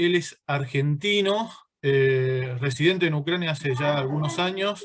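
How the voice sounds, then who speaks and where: A man with an ordinary speaking voice talks at a fairly slow pace and fairly high pitch, with ordinary pitch variation. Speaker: interviewer. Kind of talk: interview questions.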